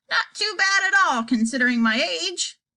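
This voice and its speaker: Putting on a character voice, a woman sounds croaky and high-pitched, her pitch swinging very widely. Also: moderate pace. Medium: read story. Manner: feeble, doddering.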